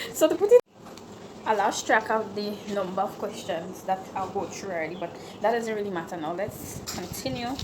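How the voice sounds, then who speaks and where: Noticeable background noise sits behind a woman with a Grenadian accent, speaking at a moderate pace with ordinary pitch variation. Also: medium pitch for a woman. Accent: Grenadian Creole English. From Grenada, St David's. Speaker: YouTuber. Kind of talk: Q&A vlog, casual chat. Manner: casual, conversational.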